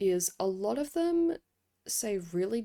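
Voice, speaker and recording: A woman's dark, mellow voice in an Australian accent, with very wide pitch swings, on a very clean recording with a silent background. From Australia, Sydney. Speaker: podcaster, K-pop commentator. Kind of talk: casual monologue commentary. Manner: casual, with frequent fillers.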